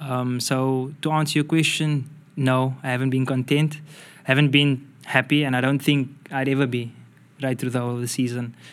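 A man speaks at a moderate pace in a medium-pitched voice, his intonation flat and monotone. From South Africa. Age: 20s. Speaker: football player. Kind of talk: interview.

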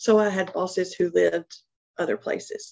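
This is a woman speaking. The sound is dry and close, with no echo. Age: 40s. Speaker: human resources professional. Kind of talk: interview.

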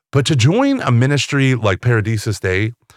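A man with an ordinary speaking voice talks at medium pitch and moderate pace, with ordinary pitch variation. The sound is dry and close with no echo, in a very clean recording with a silent background. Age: 40s. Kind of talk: casual interview chat.

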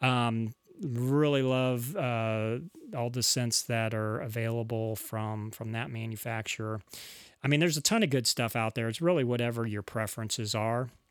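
This is an unremarkable speaking voice with fairly even intonation. The recording is very clean, with a silent background. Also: man, medium pitch for a man, moderate pace. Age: 40s. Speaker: podcast host and church bass player. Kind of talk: solo podcast monologue.

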